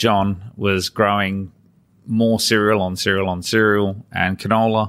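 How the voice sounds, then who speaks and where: A man with an Australian accent at a very slow pace. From Adelaide, South Australia. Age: 40s. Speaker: farmer and former air force engineer. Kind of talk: interview. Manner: halting.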